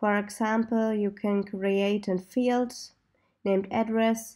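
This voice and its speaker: A woman's medium-pitched, dark and mellow voice in a German accent, monotone and flat, at a fairly slow pace, on a very clean recording with a silent background. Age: 20s. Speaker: software developer. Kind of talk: tutorial.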